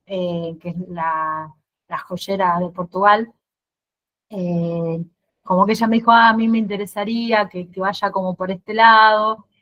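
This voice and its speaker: A woman's medium-pitched voice, bright and sharp in tone, at a fairly slow pace with fairly even intonation. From Argentina, Santa Fe. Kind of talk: casual Q&A at virtual exhibition opening. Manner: halting, many repetitions and fillers.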